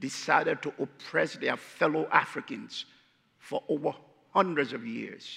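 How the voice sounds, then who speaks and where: Lively intonation marks this speech in a Liberian accent. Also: man. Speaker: guest preacher. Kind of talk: sermon. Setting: church.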